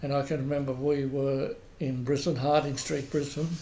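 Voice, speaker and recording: With an Australian accent, a man speaks at a fairly slow pace in a dark, mellow, somewhat breathy tone with monotone, flat intonation and audible room echo. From Queensland, Australia. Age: 80s+. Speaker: oral history interviewee. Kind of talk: oral history interview. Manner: halting, many repetitions and fillers.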